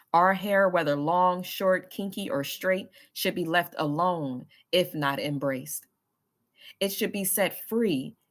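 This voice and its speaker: A woman with an ordinary speaking voice talks at a fairly slow pace, fairly low in pitch with ordinary pitch variation. The recording is very clean, with a silent background. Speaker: author reading own work. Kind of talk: poetry reading.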